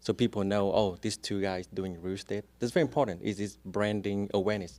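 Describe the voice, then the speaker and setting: A man with a strong Vietnamese accent talks at a fairly quick pace, his fairly low voice keeping fairly even intonation. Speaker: real estate agent. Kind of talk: podcast interview. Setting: studio.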